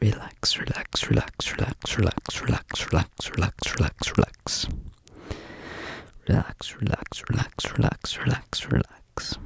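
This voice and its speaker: Whispering at a fairly slow pace, a man leaves long, frequent pauses. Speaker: ASMR creator. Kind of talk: ASMR soft speaking, repeated trigger word. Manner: soft close-mic murmured repetition. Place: home room. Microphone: studio mic.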